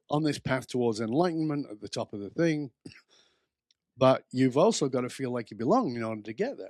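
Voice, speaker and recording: Over a dry, close sound with no echo, a man with an unremarkable speaking voice talks at a medium pitch and a fairly quick pace, with big swings in loudness. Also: ordinary pitch variation. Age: 60s. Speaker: author and belonging expert. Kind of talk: podcast interview.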